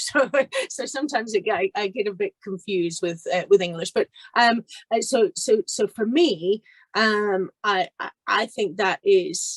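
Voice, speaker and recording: Her intonation lively and her pitch fairly high, a woman speaks at a fairly slow pace in a dry, close sound with no echo. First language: Spanish. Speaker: investment counsellor. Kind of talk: panel discussion. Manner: halting.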